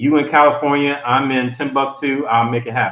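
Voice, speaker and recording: This man has a Memphis accent. His pitch is medium. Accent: Memphis Southern US. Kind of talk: casual chat. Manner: animated.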